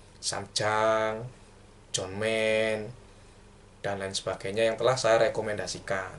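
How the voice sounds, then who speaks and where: Long, frequent pauses mark a man's very slow speech, delivered at a fairly low pitch with monotone, flat intonation. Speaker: book reviewer. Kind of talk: book review monologue. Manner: casual, hesitant.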